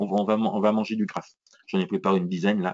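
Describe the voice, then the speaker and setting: A man's lively intonation comes through as he speaks very quickly. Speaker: trading educator. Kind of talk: live trading tutorial. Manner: hesitant with repetitions.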